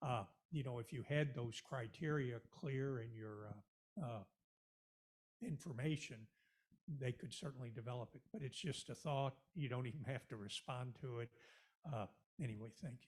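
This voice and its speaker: Speaking at a moderate pace with long, frequent pauses, a man uses a medium pitch, ordinary pitch variation and a somewhat breathy sound. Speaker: audience member, investor. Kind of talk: audience question. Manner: halting.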